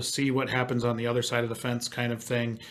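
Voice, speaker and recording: A man speaks at a medium pitch with a Wisconsin accent. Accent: Wisconsin Midwest. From Wisconsin, US Midwest. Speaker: podcast host. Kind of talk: podcast interview.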